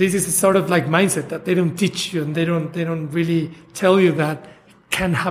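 With a Spanish accent, a man speaks at a moderate pace in a high pitch, his intonation fairly even and his pauses long and frequent. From Mexico. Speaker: chef. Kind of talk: interview.

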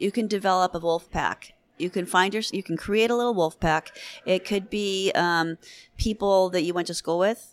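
A woman with a Californian accent at medium pitch and moderate pace, with a dry, close sound, no echo, and a very clean recording with a silent background. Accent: General American, Californian. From US West Coast, Southern California. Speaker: veterinarian. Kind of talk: interview conversation. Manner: animated.

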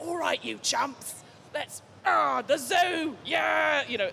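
Shouting in a high, put-on character voice with an East London accent as part of the act, the speaker goes very slowly over clear background noise.

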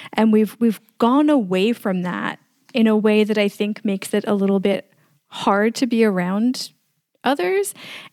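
A woman with a New York accent speaks at a fairly high pitch with fairly even intonation, on a very clean recording with a silent background. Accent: New York American. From US, New York City. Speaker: podcast producer and editor community founder. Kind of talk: interview conversation.

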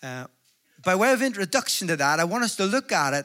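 This man talks at a moderate pace with a Northern Irish accent, his high voice raised and projected. His tone is bright, sharp and animated, with lively intonation. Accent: Northern Irish (Belfast). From Northern Ireland, Belfast. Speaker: evangelist. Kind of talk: sermon. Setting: stage with audience.

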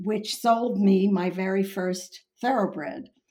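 Her voice is somewhat breathy, at a medium pitch for a woman with ordinary variation. She talks at a very slow pace. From Long Island, New York. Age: 80s. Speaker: horse breeder and owner. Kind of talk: interview storytelling.

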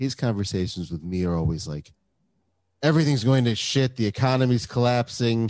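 Against a quiet background, a man with an American accent talks at a moderate pace in a dark, mellow tone with lively intonation, the sound dry and close with no echo. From upper Midwest US. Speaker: podcast host. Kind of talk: casual chat.

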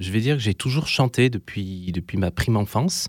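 The recording is very clean with a silent background and a dry, close sound without echo, as a man speaks at medium pitch with ordinary variation. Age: 40s. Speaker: primary school teacher and songwriter. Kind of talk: interview. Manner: halting, frequent hesitations.

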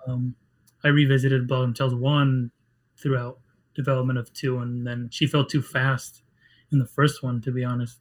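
At a moderate pace, a man with medium pitch and a somewhat breathy voice talks in a monotone, flat intonation, leaving long, frequent pauses. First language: Spanish. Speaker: game writer. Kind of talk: casual interview.

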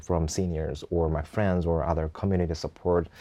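In a Korean accent, a man with a very deep, low pitch and a dark, mellow tone talks at a fairly quick pace against a quiet background. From South Korea, Seoul. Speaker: entrepreneur. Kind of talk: casual interview.

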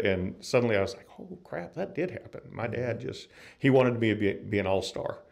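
Speaking at medium pitch and a moderate pace, a man has an unremarkable speaking voice with ordinary pitch variation. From US South, North Florida. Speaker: musician and guitar builder. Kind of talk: interview.

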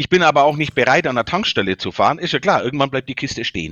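In a Bavarian accent, the speaker goes at a very fast pace with lively intonation. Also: man. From Bavaria, Germany. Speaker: company founder and CEO. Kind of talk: interview.

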